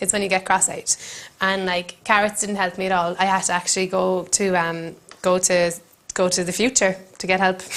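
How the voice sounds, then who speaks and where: Noticeable background noise sits behind a woman with an Irish accent. She speaks at a moderate pace and medium pitch in a monotone, flat intonation. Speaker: comedian. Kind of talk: comic monologue to camera. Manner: hesitant, rambling.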